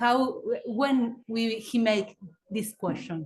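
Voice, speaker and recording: A woman's fairly high voice with a Spanish accent and fairly even intonation. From Argentina. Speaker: audience member. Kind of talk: question from audience. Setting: seminar room. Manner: halting.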